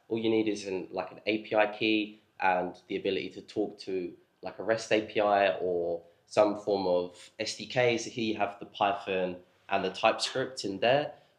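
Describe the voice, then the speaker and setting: A man's fairly low voice, fairly even in intonation, with big swings in loudness and audible room echo. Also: moderate pace. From not local to the venue. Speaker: software developer. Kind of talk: conference tech talk.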